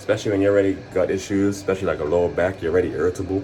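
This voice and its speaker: Fairly low male speech against noticeable background noise. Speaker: fitness vlogger. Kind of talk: casual vlog monologue. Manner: fast; fumbling over words.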